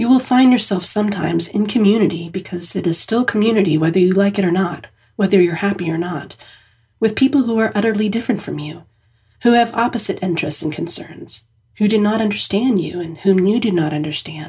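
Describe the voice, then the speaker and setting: An ordinary speaking voice from a woman, medium in pitch, fairly quick in pace, with ordinary pitch variation. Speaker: writer reading own essay. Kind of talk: literary essay reading, reflective personal essay read aloud. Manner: measured, warm, earnest and reflective.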